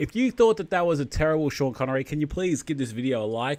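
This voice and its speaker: A fairly high-pitched man with an Australian accent and very wide pitch swings, on a very clean recording with a silent background. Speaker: streamer eating food on camera. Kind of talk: casual live stream chat.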